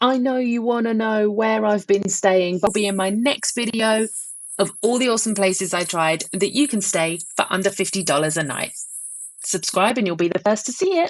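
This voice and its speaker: The speaker is a woman with a medium-pitched voice. She talks at a moderate pace. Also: ordinary pitch variation. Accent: British. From UK. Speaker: travel vlogger. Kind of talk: voiceover narration.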